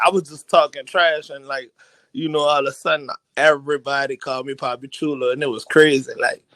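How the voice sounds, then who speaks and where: Very fast and bright, sharp in tone, a man talks with a strong New Orleans accent. His pitch varies in an ordinary way, and the sound is dry and close with no echo. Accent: thick New Orleans. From New Orleans, Louisiana. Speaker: rapper. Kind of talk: casual interview. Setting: live online radio show.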